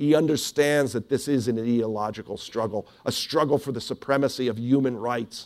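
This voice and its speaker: A man speaks with an ordinary speaking voice. His pitch varies in an ordinary way at a moderate pace. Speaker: historian. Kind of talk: lecture. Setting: stage with audience.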